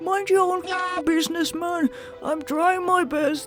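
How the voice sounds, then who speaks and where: Over clear background music, a put-on character voice talks at a moderate pace. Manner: mocking, indignant.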